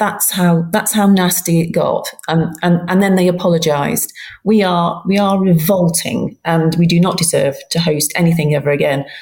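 A woman with a fairly low pitch talks at a moderate pace, her voice somewhat breathy. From England. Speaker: football journalist. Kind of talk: casual chat. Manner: animated.

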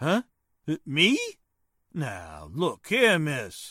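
A man uses a put-on character voice, fairly high in pitch, with very wide pitch swings and a very slow pace. His tone is bright and sharp with a slightly husky edge, the sound dry and close with no echo on a very clean recording with a silent background.

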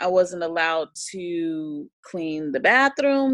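An unremarkable speaking voice with lively intonation comes through in a dry, close sound with no echo. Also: woman. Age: 30s. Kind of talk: casual interview chat.

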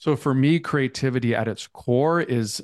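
Against a quiet background, a man with an American accent speaks in an unremarkable speaking voice at medium pitch, with ordinary pitch variation. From US Midwest, Minnesota. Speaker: author and artist. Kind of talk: interview.

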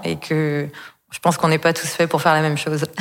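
A woman talking at a very fast pace. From Brittany, France. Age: 20s. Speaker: entrepreneur. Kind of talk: personal story in interview. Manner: hesitant with fillers.

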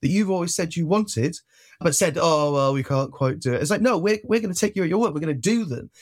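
On a very clean recording with a silent background, a man talks with a slight Welsh accent. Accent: barely Welsh, little local. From South Wales (Penarth). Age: 20s. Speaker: left-wing activist and union worker. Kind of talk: casual interview.

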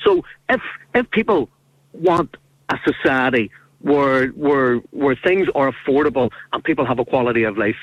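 A man's medium-pitched voice in a Northern Irish accent. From Northern Ireland. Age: 50s. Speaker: caller. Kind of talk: radio phone-in. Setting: phone call.

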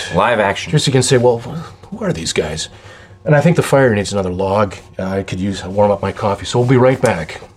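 Fairly low in pitch, a man talks at a fairly quick pace with lively intonation. There is noticeable background noise. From US Upper Midwest, Minnesota. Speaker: podcast co-host. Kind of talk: casual chat.

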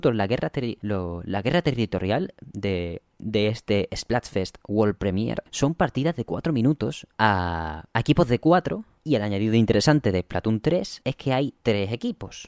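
A man with a normal speaking voice talks at medium pitch with lively intonation and hardly any pauses. The recording is very clean with a silent background and a dry, close sound with no echo. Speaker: video game podcast host. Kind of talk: solo podcast commentary. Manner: fast.

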